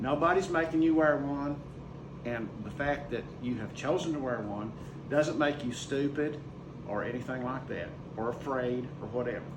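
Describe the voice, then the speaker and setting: Against noticeable background noise and audible room echo, a man with a fairly high voice talks at a moderate pace. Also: ordinary pitch variation. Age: 60s. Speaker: school teacher. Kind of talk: casual talk to camera. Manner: conversational, emphatic.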